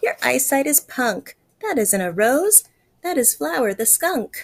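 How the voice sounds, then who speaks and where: A woman's put-on character voice, high in pitch, at a fairly slow pace. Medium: read story. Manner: cheeky.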